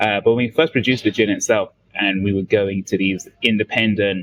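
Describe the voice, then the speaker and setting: A man at a moderate pace with a London accent. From London, England. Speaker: distiller. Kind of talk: interview.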